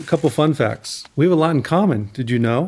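A man talks at a fairly high pitch. His intonation is lively and his pace moderate. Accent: American. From Southern California. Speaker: podcast host. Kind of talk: interview.

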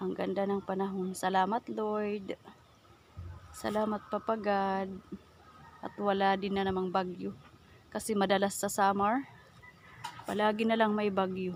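At a medium pitch and a fairly slow pace, a woman speaks in a monotone, flat intonation with long, frequent pauses. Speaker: vlogger. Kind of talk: casual vlog narration. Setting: outdoors. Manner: halting.

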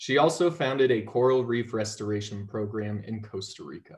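A somewhat breathy voice at a moderate pace against a quiet background. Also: man. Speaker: webinar moderator. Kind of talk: introducing panel speakers. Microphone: video call.

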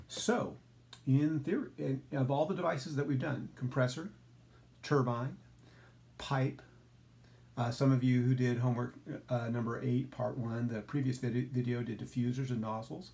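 Somewhat breathy, a man speaks with a dark, mellow tone. His pitch variation is ordinary. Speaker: instructor. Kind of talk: lecture. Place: home room. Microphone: phone near.

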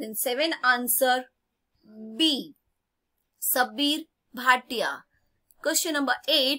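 A woman with an Indian accent projects a raised, high, bright and sharp voice, speaking very slowly with long, frequent pauses. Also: ordinary pitch variation. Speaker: school teacher. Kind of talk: lesson reading quiz questions aloud.

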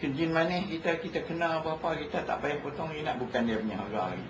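A man's fairly high voice at a fairly quick pace, with noticeable background noise and audible room echo. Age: 70s. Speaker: health supplement seller. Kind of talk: casual interview.

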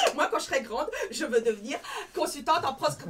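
Over noticeable background noise, a woman talks at a fairly quick pace and a high pitch with ordinary pitch variation. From Alsace, France. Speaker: stand-up comedian. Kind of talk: live comedy show. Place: stage. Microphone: camera far.

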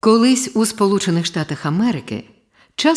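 Over a quiet background, someone is reading aloud in a natural voice with lively intonation.

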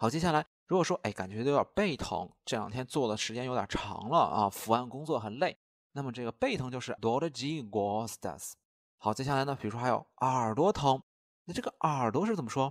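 A man with a plain, everyday voice at medium pitch, lively intonation, a dry, close sound with no echo, and a very clean recording with a silent background. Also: fairly quick pace. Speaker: language teacher. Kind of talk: lecture.

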